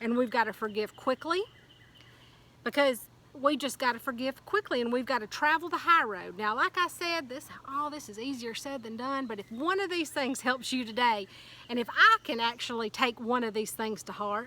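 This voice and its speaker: Over noticeable background noise, a high-pitched woman speaks at a moderate pace with lively intonation and big swings in loudness. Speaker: motivational speaker. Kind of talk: motivational talk. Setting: outdoors. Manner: animated.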